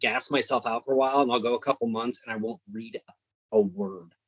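A man with a plain, everyday voice talks at a fairly quick pace with lively intonation. The sound is dry and close, without echo. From California. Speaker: indie horror author. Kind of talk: casual chat.

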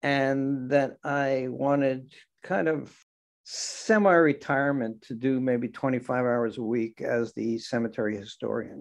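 An ordinary speaking voice, a man with an American accent talks at a fairly slow pace and medium pitch, with ordinary pitch variation over a quiet background. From New York area, Long Island. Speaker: cemetery historian. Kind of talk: interview.

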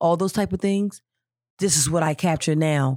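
On a very clean recording with a silent background and a dry, close sound without echo, a woman with a fairly low pitch speaks at a moderate pace in an energetic tone with ordinary pitch variation. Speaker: film director and author. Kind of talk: casual interview chat. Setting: studio.

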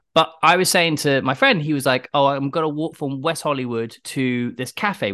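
A man with a British accent, medium pitch, and ordinary pitch variation, speaking at a fairly quick pace in a bright, sharp tone against a quiet background. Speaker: podcast host. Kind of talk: podcast interview. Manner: enthusiastic.

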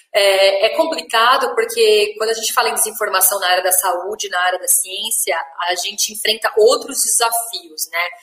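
With noticeable background noise behind her, a woman speaks in a fairly high pitch at a moderate pace with ordinary pitch variation and hardly any pauses. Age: 30s. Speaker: journalist and media educator. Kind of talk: interview.

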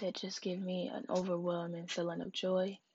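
A somewhat breathy woman's voice of medium pitch, moderate pace and fairly even intonation. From rural area with farm upbringing. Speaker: personal essay narrator. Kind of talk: reading aloud a personal narrative.

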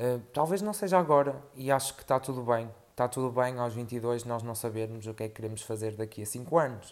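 Barely pausing, a man talks at a fairly quick pace in a medium pitch with ordinary pitch variation. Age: 20s. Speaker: podcaster. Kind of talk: personal monologue. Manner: halting, many fillers.

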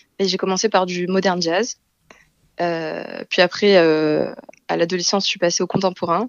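The delivery moves at a fairly slow pace. Its intonation stays fairly even. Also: woman. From Marseille, southern France. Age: 20s. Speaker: translator. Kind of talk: interview.

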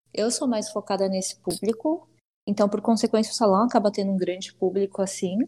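A woman talks at a fairly quick pace in a somewhat breathy voice. The background is quiet. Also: medium pitch for a woman, ordinary pitch variation. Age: 20s. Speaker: hairdresser. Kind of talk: interview. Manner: casual, filler-heavy.

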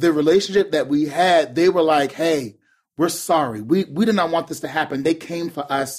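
In a very clean recording with a silent background, a man speaks at a moderate pace, his fairly high pitch showing ordinary variation. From Charleston, South Carolina. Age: 30s. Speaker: urban youth pastor. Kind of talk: casual chat.

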